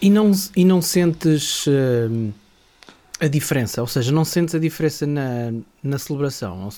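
A man's voice, fairly high in pitch, moves at a moderate pace with lively intonation. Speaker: radio host. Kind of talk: interview.

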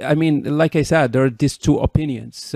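At a moderate pace, a man with a Moroccan accent speaks in a dark, mellow tone, recorded dry and close with no echo. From Morocco. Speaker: podcast host. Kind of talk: interview. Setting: in person.

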